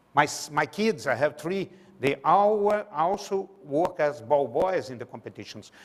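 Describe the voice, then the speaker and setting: In a Brazilian Portuguese accent, a man with a fairly high pitch speaks at a fairly slow pace with lively intonation and big swings in loudness over noticeable background noise. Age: 60s. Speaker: sports management lecturer. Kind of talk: public lecture. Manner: halting.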